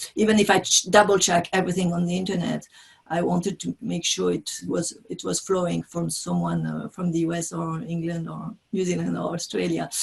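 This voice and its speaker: A fairly quick delivery in a French accent over noticeable background noise. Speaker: business trainer and author. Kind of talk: interview. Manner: halting.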